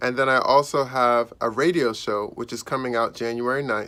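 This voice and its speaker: A man with an American accent has a bright, sharp tone. The recording is very clean, with a silent background. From Maryland, US. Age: 30s. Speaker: actor. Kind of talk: interview monologue. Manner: casual.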